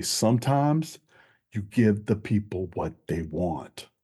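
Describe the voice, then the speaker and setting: Against a quiet background, a man speaks with a fairly low pitch, a dark, mellow tone, some breathiness and ordinary pitch variation. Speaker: wrestling podcast host. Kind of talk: wrestling commentary rant, a quick-fire knee-jerk reaction review. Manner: casual, conversational, upbeat.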